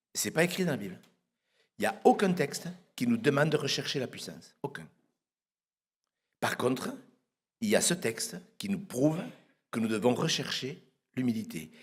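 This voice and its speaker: The speaker talks at a moderate pace with long, frequent pauses. The pitch swings very widely, and vocal fry comes through. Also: man, fairly high pitch for a man. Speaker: pastor. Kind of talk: sermon. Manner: soft-spoken; halting, repeats words.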